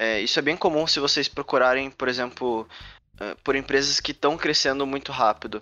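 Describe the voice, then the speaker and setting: A man's fairly high-pitched, unremarkable speaking voice, fairly even in intonation, at a moderate pace. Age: 20s. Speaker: game developer and startup cofounder. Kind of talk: talk to students. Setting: video call.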